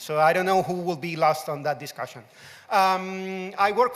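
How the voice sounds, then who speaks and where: A man talks loudly with a Spanish accent. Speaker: open source community manager. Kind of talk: conference talk.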